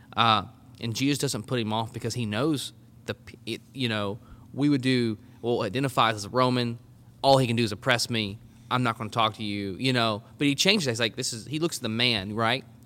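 A man speaks in an Arkansas accent. His tone is bright and sharp. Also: medium pitch for a man, fairly quick pace. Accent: Southern US (Arkansas). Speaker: collegiate ministry leader. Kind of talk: casual discussion of scripture. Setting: on location at a college campus.

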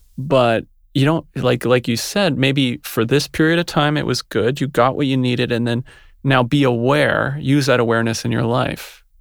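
A plain, everyday voice speaks at a moderate pace with fairly even intonation on a very clean recording with a silent background. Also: man, medium pitch for a man. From Montreal, Canada. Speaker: yoga teacher and writer. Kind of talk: casual chat. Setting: studio.

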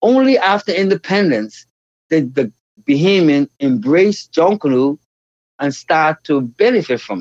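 A man with a Bahamian accent speaks at a fairly slow pace in a fairly high pitch, his voice swinging very widely in pitch and shifting a lot in loudness. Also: dry, close sound with no echo. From Bahamas, Nassau. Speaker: dance educator and choreographer. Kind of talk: interview conversation.

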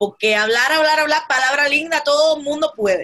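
With lively intonation, a woman raises and projects a high voice that has a bright, sharp tone. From Cuba. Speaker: political podcast host. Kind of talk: political commentary. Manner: animated.

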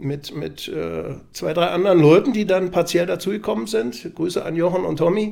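A man with a Berlin accent speaks at a moderate pace in a high, dark and mellow voice. His pitch variation is ordinary. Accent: Berlin accent, noticeable. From Berlin (Prenzlauer Berg). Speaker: TV sports journalist. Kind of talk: casual chat.

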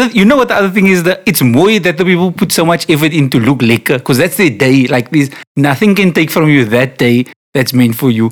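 A man's voice with very wide pitch swings and a fairly quick pace, on a very clean recording with a silent background. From Cape Town, South Africa. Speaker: podcast co-host. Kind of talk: casual chat. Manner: animated.

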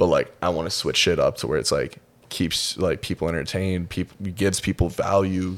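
A man with an American accent speaks in a very deep, low pitch. His intonation is monotone and flat. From US Midwest, Minnesota. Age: 20s. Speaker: fitness competitor. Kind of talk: casual chat. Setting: studio.

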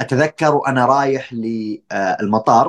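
This man has a normal speaking voice at a medium pitch. His intonation is lively. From Saudi Arabia. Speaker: doctoral researcher in tourism marketing. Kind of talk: casual interview.

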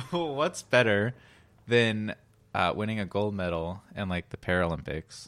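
A man with a fairly low voice speaks at a moderate pace on a very clean recording with a silent background. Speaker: podcast host. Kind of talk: casual banter. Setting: studio. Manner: monotone; joking, rambling.

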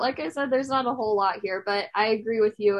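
A woman with a plain, everyday voice speaks at a fairly quick pace. Her pitch is fairly high and her intonation fairly even. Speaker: podcast host. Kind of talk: casual interview chat.

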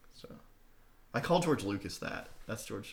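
This man's voice is somewhat breathy. He talks at a moderate pace. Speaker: podcast co-host. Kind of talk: casual chat.

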